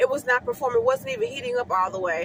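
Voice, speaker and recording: A woman speaks over noticeable background noise. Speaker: hair stylist. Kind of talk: casual vlog tips. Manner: fast.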